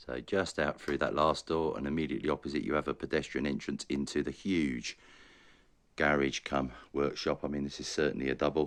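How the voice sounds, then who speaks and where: Speaking at a fairly quick pace, a man uses a very deep, low pitch with vocal fry and fairly even intonation. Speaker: estate agent. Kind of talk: property tour narration.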